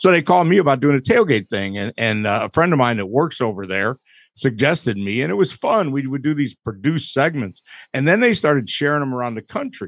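Talking at a fairly quick pace in an American accent, the man has a medium-pitched voice with very wide pitch swings. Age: 60s. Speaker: barbecue pitmaster. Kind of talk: casual chat. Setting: studio with live audience.

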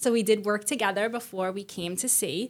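A woman with an American accent and a plain, everyday voice, medium in pitch with ordinary pitch variation, at a fairly quick pace. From Staten Island, New York City. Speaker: school guidance director. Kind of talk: casual interview. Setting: studio.

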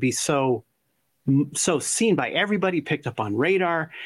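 A man speaks at a moderate pace with lively intonation in a normal speaking voice, in a very clean recording with a silent background. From California. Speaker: remote viewer, podcast co-host. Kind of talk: casual chat.

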